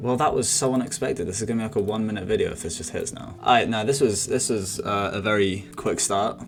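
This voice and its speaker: A man's fairly low voice at a very fast pace with hardly any pauses, ordinary pitch variation, and noticeable background noise. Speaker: forex trader. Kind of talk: live trading commentary. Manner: animated.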